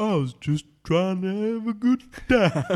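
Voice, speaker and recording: In a put-on character voice, a man speaks at a high pitch with lively intonation and a fairly slow pace, on a very clean recording with a silent background. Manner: naive, earnest.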